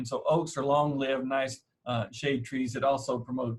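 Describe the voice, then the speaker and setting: A man with an East Texas accent talks at a fairly quick pace in a somewhat breathy voice. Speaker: horticulturist. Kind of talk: lecture. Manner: frequent fillers.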